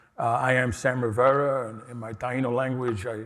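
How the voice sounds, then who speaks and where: With a New York accent, a man delivers his words in a monotone, flat intonation. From New York City, Lower East Side. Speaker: harm reduction organization director. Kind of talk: conference talk.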